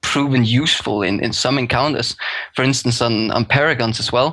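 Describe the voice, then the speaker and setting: Here a man talks with a Danish accent. His pitch is medium and his intonation fairly even. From Denmark. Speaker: guest, game guild raider. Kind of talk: casual podcast discussion.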